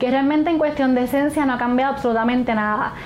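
Over noticeable background noise, a woman speaks in a high pitch with monotone, flat intonation. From Puerto Rico (Hormigueros). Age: 20s. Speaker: patient with multiple sclerosis. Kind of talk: testimony.

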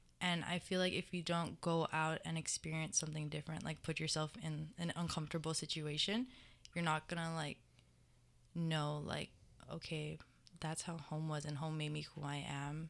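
In a very clean recording with a silent background, a woman with a Hawaiian accent speaks in a very deep, low pitch with monotone, flat intonation. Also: moderate pace. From Hawaii, Mililani on Oahu. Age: 18. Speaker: college student athlete. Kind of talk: casual interview.

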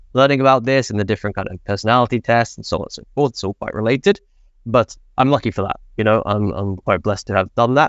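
Talking at a very fast pace, a man with a medium pitch speaks in an English accent. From England. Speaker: analytics manager. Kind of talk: panel discussion.

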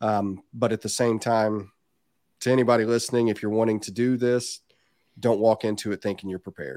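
A man with an American accent speaks fairly quickly at a medium pitch, in a dark, mellow tone with fairly even intonation. The sound is dry and close, with no echo. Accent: Southern US, hillbilly-tinged. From southern Indiana, US. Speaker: reptile breeder. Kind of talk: casual chat, podcast interview. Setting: video call.

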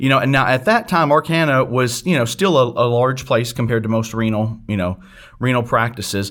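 At a fairly quick pace, an unremarkable speaking voice with an American accent shows ordinary pitch variation. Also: man, medium pitch for a man. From US South, northeast Arkansas near Memphis. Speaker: renal pathologist. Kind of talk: interview.

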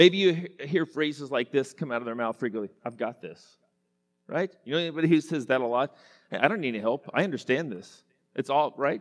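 A man with an American accent talks at a fairly quick pace with lively intonation in a fairly high voice. The recording is very clean with a silent background, and the sound is dry and close with no echo. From Western Oklahoma (Enid). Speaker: pastor. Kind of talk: sermon.

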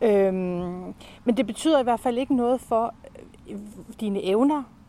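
A woman at a fairly slow pace, ordinary pitch variation throughout. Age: 50s. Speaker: podcast co-host. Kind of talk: casual chat. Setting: outdoors.

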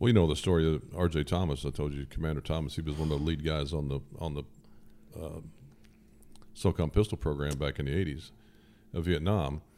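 With long, frequent pauses between very fast bursts, a man with an American accent speaks in a very deep, low pitch with a dark, mellow tone and vocal fry. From southern Indiana. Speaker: firearms industry engineer. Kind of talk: casual interview. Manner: hesitant, many fillers.

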